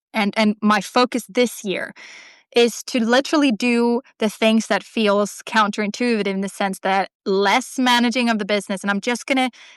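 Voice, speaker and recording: A woman with a Swedish accent speaks at fairly high pitch with fairly even intonation. The sound is dry and close, with no echo. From Sweden. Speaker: artist and writer. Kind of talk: casual interview chat. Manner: halting, many fillers and restarts.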